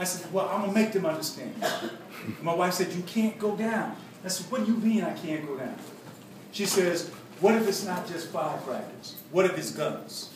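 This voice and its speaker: Noticeable background noise surrounds a man speaking at a high pitch. He keeps a moderate pace with ordinary pitch variation. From Harlem, New York. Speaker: former activist, author, spoken word poet. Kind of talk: speech to students.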